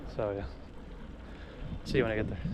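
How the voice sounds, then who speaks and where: A man talks over noticeable background noise. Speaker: travel vlogger. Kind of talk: vlog narration.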